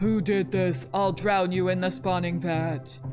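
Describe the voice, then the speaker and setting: Clear music plays in the background. A put-on character voice at middle pitch speaks at a fairly slow pace. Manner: angry, threatening.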